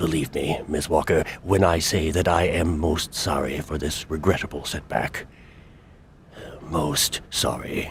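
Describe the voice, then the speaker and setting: Over clear background noise, a man does a put-on character voice, very deep and low, with monotone, flat intonation at a fairly slow pace. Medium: video game. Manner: formal, measured.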